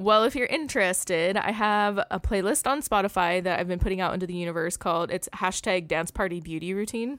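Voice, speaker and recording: In a very clean recording with a silent background, a woman with a plain, everyday voice talks at medium pitch and a fairly quick pace, with hardly any pauses and ordinary pitch variation. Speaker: podcast host. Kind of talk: casual chat. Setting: home studio. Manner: fast talker.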